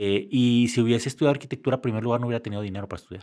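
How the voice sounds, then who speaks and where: On a very clean recording with a silent background, a man speaks with a Mexican accent and ordinary pitch variation. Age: 50s. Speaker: engineer, designer and photographer. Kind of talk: casual interview.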